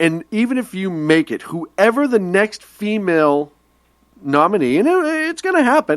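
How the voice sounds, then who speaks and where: In an American accent, the speaker talks at a moderate pace with an animated tone and very wide pitch swings, the sound dry and close with no echo. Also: man, high pitch for a man. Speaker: radio show co-host. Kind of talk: casual political discussion.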